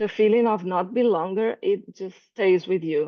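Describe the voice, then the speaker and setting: A woman speaks with a Portuguese accent at a medium pitch. Her pace is fairly slow and her intonation fairly even. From Brazil. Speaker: calligraphy artist. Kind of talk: presentation. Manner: halting.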